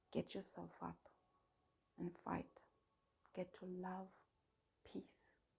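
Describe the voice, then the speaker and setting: Someone whispers at a very slow pace. Long pauses come often between the words. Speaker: self-help video host. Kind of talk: motivational talk. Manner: repetitive, emphatic; whispering at the close.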